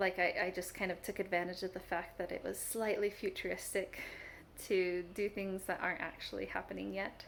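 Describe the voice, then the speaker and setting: A woman talks at a fairly quick pace with vocal fry. Her intonation is monotone and flat. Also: medium pitch for a woman. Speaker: writer vlogger. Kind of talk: casual vlog update. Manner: fast.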